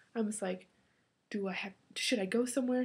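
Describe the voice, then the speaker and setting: A woman speaks at a fairly quick pace. Her voice is fairly high and somewhat breathy. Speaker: college student vlogger. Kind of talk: casual vlog. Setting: alone in a room talking to computer. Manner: fast when excited.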